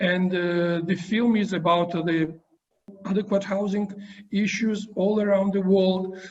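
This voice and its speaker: A man's high-pitched voice at a fairly slow pace, with a Georgian accent. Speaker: university professor interviewer. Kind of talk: interview. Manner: halting.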